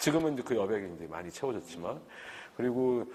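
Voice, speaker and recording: His medium-pitched voice moves through very wide pitch swings. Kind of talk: oral history interview. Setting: recorded interview on camera.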